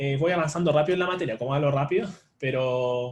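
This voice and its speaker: With ordinary pitch variation and a fairly quick pace, the man talks in a fairly high, somewhat breathy voice. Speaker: online tutor. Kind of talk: live online lecture. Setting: livestream. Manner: fast; filler-heavy, with hesitations.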